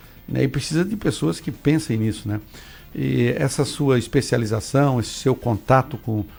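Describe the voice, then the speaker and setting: A man talks with ordinary pitch variation. Behind him, music plays in the background. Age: 60s. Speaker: radio host. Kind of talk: radio interview.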